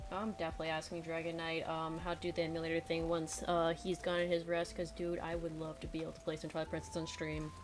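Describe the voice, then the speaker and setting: A woman rushes along at a very fast pace with hardly any pauses. Her fairly low voice stays monotone and flat. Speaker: streamer and digital artist. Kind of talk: casual chat. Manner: sounds serious even when joking.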